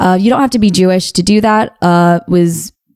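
A woman talks at a moderate pace with an American accent and a fairly low pitch. She has an ordinary speaking voice. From US. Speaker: podcast co-host. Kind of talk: casual chat.

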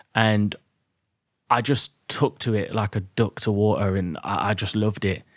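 In a very clean recording with a silent background and a dry, close sound with no echo, a man with an English Midlands accent speaks slowly at a fairly low pitch. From English Midlands, Derby. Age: 30s. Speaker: property investor and podcaster. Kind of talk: casual monologue to listeners. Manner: animated.

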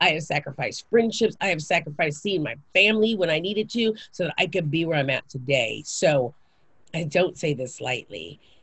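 A woman's somewhat breathy, very deep, low voice with an American accent, an animated tone, lively intonation and a moderate pace. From Japan and Kansas, US. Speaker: actress, singer and author. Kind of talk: casual interview chat.

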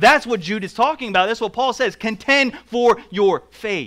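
The voice is raised and projected, with an American accent. Intonation is lively and the pace moderate. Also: man. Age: 30s. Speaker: pastor. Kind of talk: sermon.

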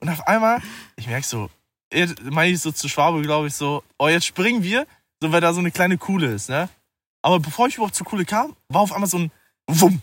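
On a very clean recording with a silent background and a dry, close sound with no echo, a man talks fairly quickly in a high voice with lively intonation and long, frequent pauses. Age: 20s. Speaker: musician and trainee lab technician. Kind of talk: casual chat. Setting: outdoors at night under the stars.

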